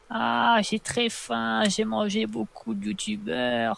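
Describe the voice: A put-on character voice speaks in a low pitch at a very slow pace.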